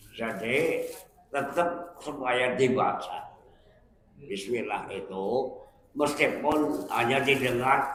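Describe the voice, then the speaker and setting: Very slow speech from a man, amid noticeable background noise and audible room echo. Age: 80s+. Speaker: Islamic preacher, retired teacher. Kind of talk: religious study talk with Q&A.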